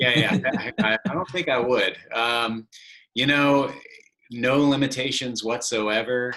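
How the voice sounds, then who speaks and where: A man with an ordinary speaking voice and medium pitch talks at a fairly slow pace, his pitch varying an ordinary amount. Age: 30s. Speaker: podcast host. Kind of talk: casual interview.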